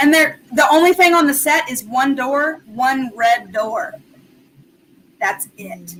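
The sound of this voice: A woman's high voice with an American accent at a very slow pace, with lively intonation and big swings in loudness.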